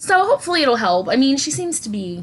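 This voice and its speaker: Over music in the background, a woman with an American accent talks at a moderate pace with very wide pitch swings. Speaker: podcast co-host. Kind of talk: casual chat.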